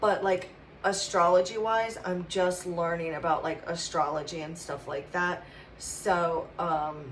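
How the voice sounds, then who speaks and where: With noticeable background noise and audible room echo, a woman speaks at medium pitch in an American accent, her intonation fairly even. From West Virginia mountains. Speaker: tarot reader. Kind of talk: channeled tarot reading. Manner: halting, many fillers.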